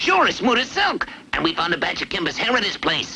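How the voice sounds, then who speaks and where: A man does a cartoonish character voice at an extremely high pitch with very wide swings. He talks at a fairly quick pace over clear background noise. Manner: eager, folksy grammar.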